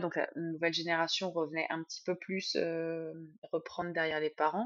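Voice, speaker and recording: Fairly low female speech delivered at a moderate pace. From Sologne, Loir-et-Cher, France. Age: 40s. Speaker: winemaker. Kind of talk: interview. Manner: hesitant with fillers.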